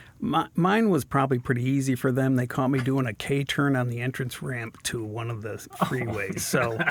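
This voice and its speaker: Speaking in an American accent at a medium pitch, a man keeps a moderate pace with hardly any pauses and ordinary pitch variation over noticeable background noise. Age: 60s. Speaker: guest sharing recovery story. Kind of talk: casual interview.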